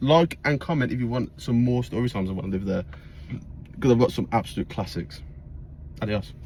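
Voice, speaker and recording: A man at a medium pitch talks at a fairly quick pace with lively intonation, somewhat breathy, with long, frequent pauses. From England. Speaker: vlogger. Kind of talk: storytelling. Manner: casual, filler-heavy.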